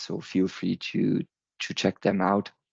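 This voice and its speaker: A man with a German accent at a fairly slow pace, in a dry, close sound with no echo and a quiet background. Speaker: tech presenter. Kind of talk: conference presentation. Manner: halting, with fillers.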